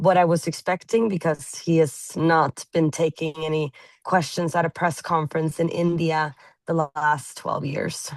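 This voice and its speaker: Over a quiet background, a woman with a Norwegian accent speaks at a moderate pace, fairly low in pitch with fairly even intonation. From Norway. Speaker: journalist. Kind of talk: interview.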